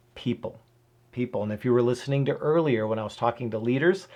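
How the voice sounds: The clip has a natural reading voice. Its pitch variation is ordinary.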